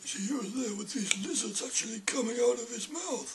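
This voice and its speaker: Using a put-on character voice, a man speaks at a moderate pace in a high pitch, with a deadpan tone and ordinary pitch variation. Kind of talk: mock-documentary interview. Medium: short film. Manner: rambling, understated, deadpan about absurdities.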